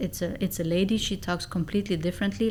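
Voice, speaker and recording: Talking at a very fast pace, a woman uses a fairly low pitch with vocal fry. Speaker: negotiation and sales expert. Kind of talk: podcast interview.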